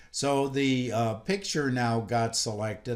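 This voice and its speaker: This man has a normal speaking voice, talking fairly slowly at a medium pitch. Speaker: software instructor. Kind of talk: tutorial.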